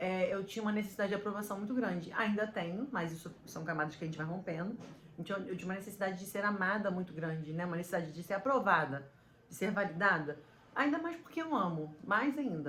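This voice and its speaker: Speaking very fast with lively intonation at a medium pitch, a woman is heard with audible room echo. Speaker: podcaster and business coach. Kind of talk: motivational talk to camera.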